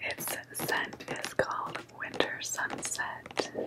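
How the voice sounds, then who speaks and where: A woman is whispering. Her voice stays at a whisper throughout. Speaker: ASMR creator. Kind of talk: ASMR relaxation talk. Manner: whispered. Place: home room. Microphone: studio mic.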